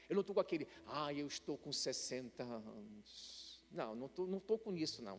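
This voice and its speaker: A fairly high-pitched man at a fairly slow pace, with very wide pitch swings and hardly any pauses. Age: 60s. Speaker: pastor. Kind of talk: sermon. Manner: conversational, some hesitations.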